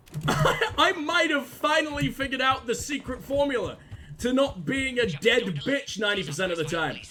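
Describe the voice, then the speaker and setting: In a British accent, a man with an extremely high pitch raises and projects his voice, sounding animated at a moderate pace. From UK. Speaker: gaming streamer. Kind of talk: gameplay commentary.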